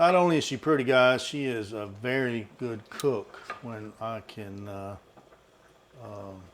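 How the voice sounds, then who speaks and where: A man with a Southern US accent speaks at a medium pitch. His loudness swings widely. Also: ordinary pitch variation, fairly slow pace. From US South. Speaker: vlogger. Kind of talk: casual chat.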